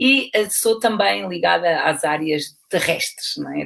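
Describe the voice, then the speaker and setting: Speaking with a European Portuguese accent, a woman takes her time. Her pace is fairly slow. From Portugal. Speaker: university lecturer and aquatic fitness instructor. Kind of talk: lecture. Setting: video call. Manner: hesitant, with fillers.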